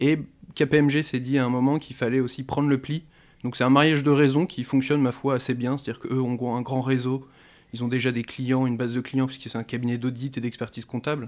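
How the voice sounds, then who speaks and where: On a very clean recording with a silent background, a man of medium pitch speaks fairly quickly in a monotone, flat intonation. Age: 20s. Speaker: crypto-currency expert. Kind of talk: interview.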